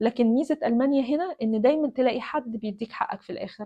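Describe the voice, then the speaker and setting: Lively intonation at a moderate pace. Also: woman. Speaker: doctor and video blogger. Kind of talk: personal storytelling monologue. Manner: casual, hesitant with fillers and repetitions.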